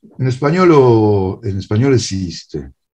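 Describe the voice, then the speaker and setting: A somewhat breathy man with a Spanish accent and a medium-pitched voice swings his pitch very widely, with a quiet background behind him. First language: Spanish (speaking Italian). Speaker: writer and translator; guest. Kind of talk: lecture. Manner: halting. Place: home room. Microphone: video call.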